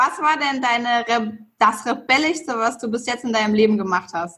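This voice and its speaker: A woman talks in a plain, everyday voice with a fairly high pitch. Her pace is moderate and her pitch variation ordinary. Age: 30s. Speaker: podcast host. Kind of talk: casual chat.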